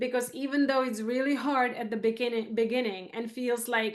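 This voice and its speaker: A woman's fairly high voice with a Czech accent, monotone and flat in intonation. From Czech Republic. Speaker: photographer. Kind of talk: interview.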